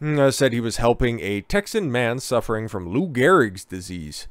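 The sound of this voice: In a very clean recording with a silent background, a man speaks at a moderate pace with a clear, smooth tone.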